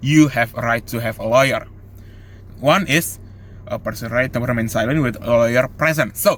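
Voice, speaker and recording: Speaking with an Indonesian accent, a man with a medium pitch shows ordinary pitch variation. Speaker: law student. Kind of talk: student presentation. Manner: halting.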